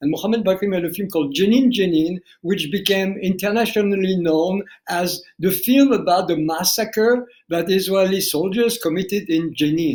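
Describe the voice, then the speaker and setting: Someone with a French accent talks at a moderate pace with ordinary pitch variation. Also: man, high pitch for a man. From France (family fled Algeria). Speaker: documentary filmmaker. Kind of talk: interview. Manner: halting, repeats words.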